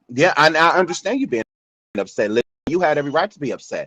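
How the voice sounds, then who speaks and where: A man speaks at a fairly high pitch and a fairly quick pace, with a bright, sharp tone and vocal fry. The sound is dry and close, with no echo. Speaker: live audio show host. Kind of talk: casual chat. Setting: live audio app room. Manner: calm, not loud.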